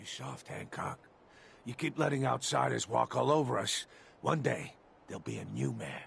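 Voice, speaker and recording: In a put-on, raspy character voice, a man speaks at a very deep, low pitch and moderate pace, with long, frequent pauses, big swings in loudness and very wide pitch swings. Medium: video game. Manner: cocky.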